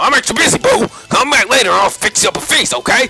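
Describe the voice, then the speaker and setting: A man rattles off lines very fast in a put-on character voice pitched extremely high, with clear background noise behind him. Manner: playful.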